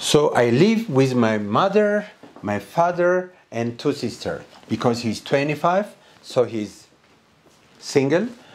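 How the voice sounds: Pitch swings big in this man's medium-pitched voice. He speaks slowly.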